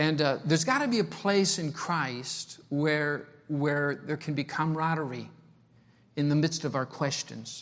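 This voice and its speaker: A man at a fairly high pitch and a moderate pace with ordinary pitch variation, on a very clean recording with a silent background. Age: 60s. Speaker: travelling preacher. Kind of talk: sermon. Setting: church. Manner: repetitive, halting speech.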